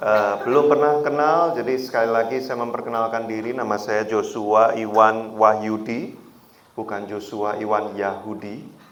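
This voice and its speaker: Amid audible room echo, a man with a strong Javanese accent speaks at a moderate pace and a medium pitch. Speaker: guest preacher. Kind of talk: sermon. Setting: church. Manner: animated.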